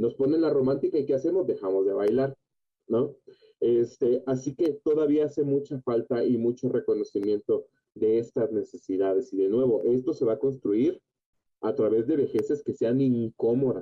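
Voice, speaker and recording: A plain, everyday voice at a moderate pace, with ordinary pitch variation and very even loudness. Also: man, medium pitch for a man. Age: 30s. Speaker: psychogerontologist. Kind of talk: radio interview.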